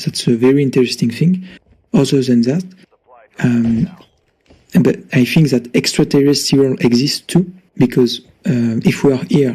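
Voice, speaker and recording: In a French accent, a man speaks at a moderate pace and medium pitch with ordinary pitch variation, a dark, mellow, somewhat breathy tone, and long, frequent pauses. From France. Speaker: caller. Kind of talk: casual chat. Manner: halting.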